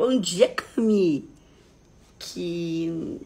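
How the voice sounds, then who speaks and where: A woman's medium-pitched voice carries a somewhat breathy quality. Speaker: therapist or coach hosting a live stream. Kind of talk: live stream talk to viewers.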